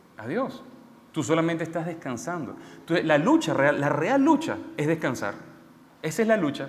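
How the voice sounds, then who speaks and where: A man speaks at a high pitch with very wide pitch swings and a moderate pace. Long, frequent pauses break up his speech, and room echo is audible. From Venezuela. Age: 30s. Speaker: preacher. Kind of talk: sermon.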